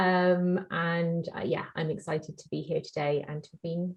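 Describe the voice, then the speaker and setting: With a southern English accent, a woman speaks in a somewhat breathy voice with a dark, mellow tone. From southern England. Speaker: speech and language therapist. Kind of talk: webinar introduction.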